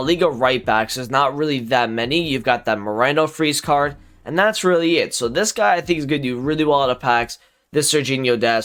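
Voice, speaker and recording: Quiet speech at a fairly quick pace. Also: man, very clean recording, silent background. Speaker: gaming YouTuber. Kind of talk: casual commentary video. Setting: home recording late at night. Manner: quiet, low volume.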